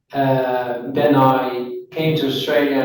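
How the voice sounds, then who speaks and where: A man talks with a Dutch accent. Audible room echo surrounds his voice. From Netherlands, Rotterdam. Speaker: interviewer, commercial property manager. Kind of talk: casual chat. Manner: hesitant, many fillers.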